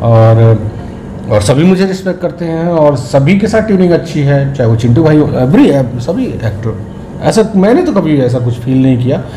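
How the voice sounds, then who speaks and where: A man with a Bihari accent speaks at a moderate pace, his fairly high pitch moving in lively intonation, amid noticeable background noise and audible room echo. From Bihar, India. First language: Bhojpuri (speaking Hindi). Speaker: film actor. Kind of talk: interview.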